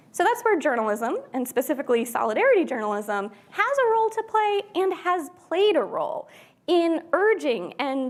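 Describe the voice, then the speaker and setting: A woman with an American accent speaks at a moderate pace. Her pitch swings very widely. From US, Pennsylvania. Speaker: journalism scholar. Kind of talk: keynote talk.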